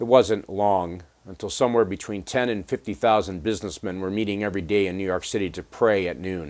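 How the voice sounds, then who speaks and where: The man's fairly low voice moves at a fairly quick pace with hardly any pauses and fairly even intonation. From United States. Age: 50s. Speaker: pastor. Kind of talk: devotional talk. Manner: halting. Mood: earnest, calm. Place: home room.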